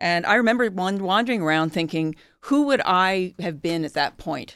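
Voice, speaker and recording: In an American accent, a woman with a medium pitch talks at a fairly quick pace with lively intonation on a very clean recording with a silent background. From Philadelphia, US. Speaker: journalist and volunteer. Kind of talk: panel discussion. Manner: halting.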